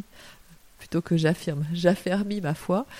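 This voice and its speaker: Speech at a very slow pace with ordinary pitch variation comes through over noticeable background noise. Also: woman. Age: 50s. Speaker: writer. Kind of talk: interview. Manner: hesitant with fillers.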